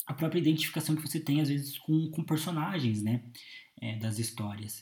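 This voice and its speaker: A man speaks at a moderate pace. His delivery moves along evenly. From Brazil, Curitiba. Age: 20s. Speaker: podcast host. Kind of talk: solo monologue. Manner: hesitant, many filler 'é'.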